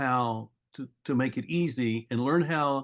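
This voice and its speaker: An ordinary speaking voice shows ordinary pitch variation. The background is quiet. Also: man. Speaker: podcast host. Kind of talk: podcast interview.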